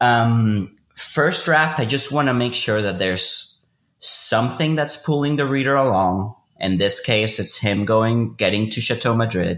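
Delivery is somewhat unhurried, and the pitch rises and falls in a typical way. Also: man, medium pitch for a man. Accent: Spanish. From Venezuela. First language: Spanish. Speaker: fiction writer. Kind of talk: interview conversation.

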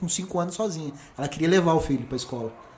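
Over noticeable background noise, a man speaks very fast in a high pitch. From São Paulo, Brazil. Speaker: computer engineer. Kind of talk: podcast interview.

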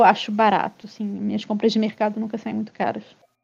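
A woman speaks in a dark, mellow tone. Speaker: podcast co-host. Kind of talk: casual chat.

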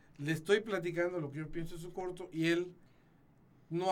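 Against noticeable background noise, a man talks at a moderate pace with a high pitch. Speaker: short film maker. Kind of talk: casual chat. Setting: studio.

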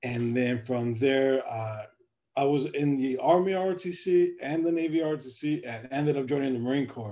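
A normal speaking voice with an American accent. It moves at a fairly slow pace with ordinary pitch variation. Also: man, fairly high pitch for a man. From US Midwest, South Side Chicago. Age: 30s. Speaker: entrepreneur, BBQ sauce company founder, Marine veteran. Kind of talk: interview.

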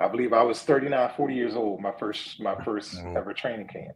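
At a fairly slow pace, a man talks with an American accent. His medium pitch varies in an ordinary way. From Philadelphia (West Philly). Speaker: sports journalist. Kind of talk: casual interview.

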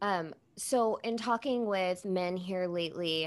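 A woman speaks with a plain, everyday voice, fairly low in pitch and with ordinary pitch variation. The recording is very clean, with a silent background. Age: 30s. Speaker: podcast host. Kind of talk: casual chat.

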